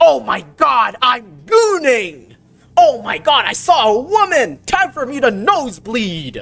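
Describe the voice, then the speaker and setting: Putting on a character voice, a woman speaks high and at a fairly slow pace, her pitch swinging very widely. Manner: overexcited, mocking.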